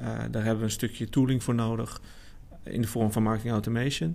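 An unremarkable speaking voice from a man, at a medium pitch and fairly quick pace with fairly even intonation. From Netherlands, Amersfoort. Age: 30s. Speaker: marketing specialist. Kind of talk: casual chat.

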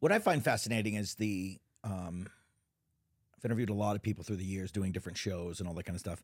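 On a very clean recording with a silent background, a man with an American accent and a fairly low pitch speaks very fast in an animated tone, with long, frequent pauses. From Texas. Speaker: podcast host and TV producer. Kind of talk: casual interview chat. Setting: live recording in a lounge studio.

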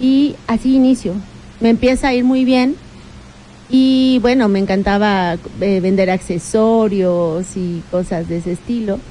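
A woman at medium pitch and a fairly slow pace, with ordinary pitch variation, over noticeable background noise. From Mexico, Puebla (Tecamachalco). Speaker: local politician. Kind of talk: radio interview. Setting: radio studio.

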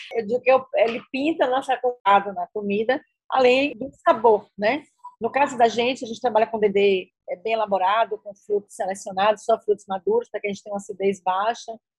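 Dry and close with no echo, a woman talks fairly quickly in an ordinary speaking voice, fairly high in pitch, with ordinary pitch variation and big swings in loudness. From Bahia, Brazil (rural interior). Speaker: chef and restaurant owner. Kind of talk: interview.

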